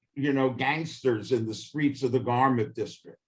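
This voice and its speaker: In a New York accent, a man speaks at a medium pitch. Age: 70s. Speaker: history professor. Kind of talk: interview. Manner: halting.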